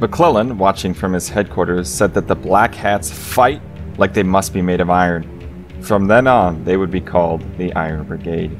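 Music plays in the background as a man talks at a moderate pace. His pitch is very deep and low. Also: ordinary pitch variation. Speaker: narrator. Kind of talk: history documentary narration.

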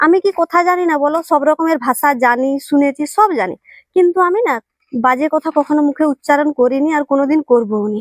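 Her sound is dry and close, with no echo. This woman's voice is high in pitch, its variation ordinary. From West Bengal, India (Bankura district). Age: 20s. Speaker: vlogger. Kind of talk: personal monologue to camera. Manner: halting.

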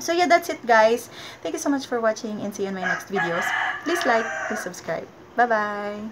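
A woman with a Filipino accent speaks at a fairly high pitch, her voice swinging very widely up and down over loud background noise. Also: moderate pace. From Philippines. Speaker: vlogger. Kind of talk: casual vlog talk to camera. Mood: friendly, advising. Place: home room. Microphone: webcam.

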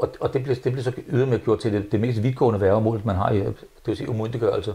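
A man's somewhat breathy voice has a dark, mellow tone and fairly even intonation. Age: 70s. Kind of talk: interview. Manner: halting, many repetitions. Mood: frustrated, earnest. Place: home room. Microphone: lapel.

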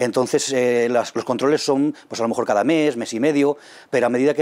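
The pace is very fast. A man's pitch shifts in an ordinary way. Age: 40s. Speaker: kidney transplant patient. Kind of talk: testimony. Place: meeting room. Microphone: lapel.

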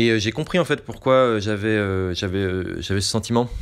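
Over a quiet background, the speech moves at a fairly slow pace with ordinary pitch variation. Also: man. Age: 30s. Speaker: filmmaker, musician and anarchist activist; podcast guest. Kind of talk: casual interview. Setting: live stream with chat. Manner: halting, many hesitations.

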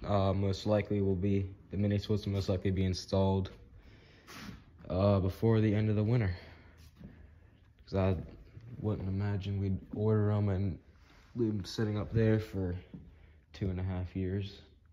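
A man's fairly low, dark and mellow voice at a moderate pace, monotone and flat, with long, frequent pauses and light background noise. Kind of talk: casual vlog chat. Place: hall. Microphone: phone near.

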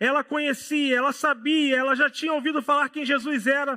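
Over a quiet background, a man with a Rio de Janeiro accent speaks at a moderate pace with an extremely high pitch. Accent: Rio de Janeiro (carioca). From Rio de Janeiro, Brazil. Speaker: pastor. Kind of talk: sermon. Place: church. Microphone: headset.

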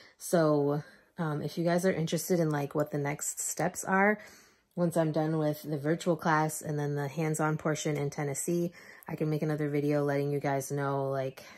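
Very clean, silent-background audio of a woman with a very deep, low pitch, monotone and flat, at a moderate pace. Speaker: vlogger, sleep tech student. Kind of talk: casual vlog talk to camera. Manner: casual, many fillers.

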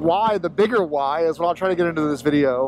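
A man's high voice in an American accent with ordinary pitch variation, dry with no echo, over noticeable background noise. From Florida. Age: 30s. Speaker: motorcycle vlogger. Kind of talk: vlog monologue while riding. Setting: outdoors on a motorcycle. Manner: halting, many fillers. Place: motorbike.

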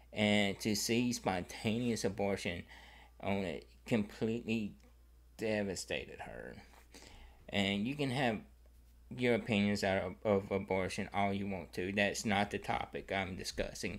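Speaking at a fairly slow pace, a man with fairly low pitch, ordinary pitch variation and vocal fry. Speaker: vlogger. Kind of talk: personal story to camera. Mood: somber, emotional. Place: home room. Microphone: studio mic.

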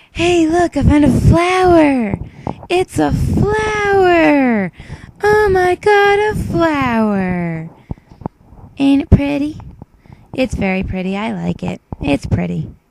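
A woman puts on a character voice, pitched high. She talks at a very slow pace. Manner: cheerful, excited.

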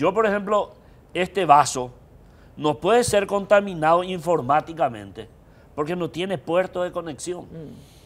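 A man speaks at a fairly slow pace with a high pitch. His loudness swings widely. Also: lively intonation. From Paraguay. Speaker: electoral expert; guest. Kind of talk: political panel discussion. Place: studio. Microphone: lapel.

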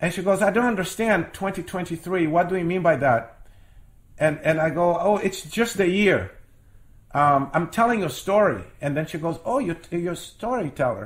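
A man with a high-pitched voice talks at a moderate pace, his intonation lively. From Brazil, Rio de Janeiro. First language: Portuguese. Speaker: storyteller. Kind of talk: interview.

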